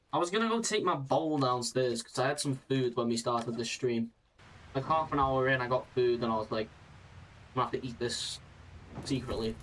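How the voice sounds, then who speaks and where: This man has a British accent and a medium pitch. He talks at a moderate pace with ordinary pitch variation. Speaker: gaming streamer. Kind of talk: casual live-stream chat.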